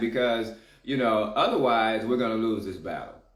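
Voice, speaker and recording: Fairly quick male speech with audible room echo. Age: 60s. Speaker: community activist. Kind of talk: casual chat.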